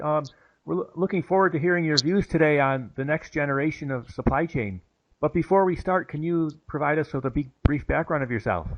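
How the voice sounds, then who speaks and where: A man speaks at a fairly quick pace with fairly high pitch, ordinary pitch variation and a plain, everyday voice. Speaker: interviewer. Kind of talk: podcast interview questions.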